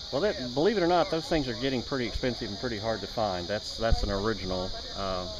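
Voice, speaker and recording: Talking at a very fast pace with lively intonation, a man is heard over noticeable background noise and audible room echo. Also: medium pitch for a man. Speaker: truck owner. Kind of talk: casual interview.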